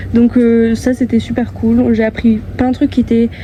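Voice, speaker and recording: The speaker is soft-spoken and talks at a moderate pace. There is noticeable background noise behind the voice. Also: woman. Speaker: vlogger and singer-songwriter. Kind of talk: vlog. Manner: hesitant.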